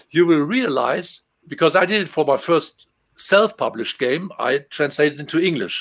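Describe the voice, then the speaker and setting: The speaker has a German accent and ordinary pitch variation. The pace is moderate. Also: man, fairly high pitch for a man. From Germany. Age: 50s. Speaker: game translator; guest. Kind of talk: casual interview. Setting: video call. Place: home room.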